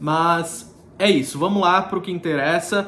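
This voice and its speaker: This man's voice is high in pitch, with fairly even intonation. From Brazil, Florianópolis (Santa Catarina). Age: 30s. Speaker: vlogger. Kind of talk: casual vlog talk to camera.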